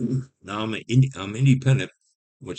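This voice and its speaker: A man talks at a very fast pace in a somewhat breathy voice. His tone is dark and mellow. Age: 70s. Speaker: YouTuber. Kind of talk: personal monologue vlog. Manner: halting, with many restarts.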